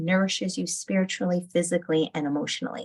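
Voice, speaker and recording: A somewhat breathy woman's voice, fairly low in pitch, with ordinary pitch variation and a very fast pace. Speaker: holistic nutritionist and EFT tapping guide. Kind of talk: guided EFT tapping session.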